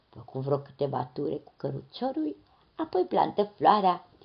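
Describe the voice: Plain reading aloud is all the speaker does here.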